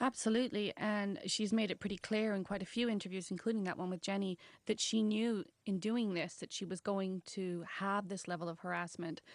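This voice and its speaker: With a normal speaking voice, a woman talks at a fairly quick pace and medium pitch, with fairly even intonation and hardly any pauses. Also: quiet background. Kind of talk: radio interview answer.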